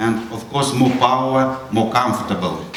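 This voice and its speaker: A man speaks with fairly even intonation amid noticeable background noise and audible room echo. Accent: Russian. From Russia. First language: Russian. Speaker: astronaut. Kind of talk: school presentation. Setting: school audience. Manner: halting.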